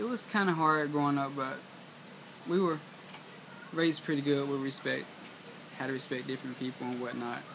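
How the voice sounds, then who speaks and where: Over noticeable background noise, a man with a Southern US accent talks at a fairly quick pace and a fairly high pitch. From US South, eastern North Carolina. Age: 20s. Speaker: vlogger. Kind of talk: personal vlog monologue. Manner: halting.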